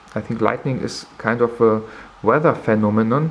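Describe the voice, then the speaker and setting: There is noticeable background noise as a man speaks. His pitch is medium and his pace fairly slow. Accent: non-native. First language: not English. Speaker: camera reviewer. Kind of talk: tutorial. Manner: halting.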